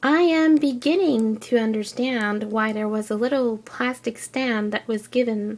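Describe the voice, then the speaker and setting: A woman speaks in a French Canadian accent at a fairly slow pace. Her fairly high pitch shows ordinary variation. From French Canada. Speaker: figure collector. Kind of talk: casual review talk to camera.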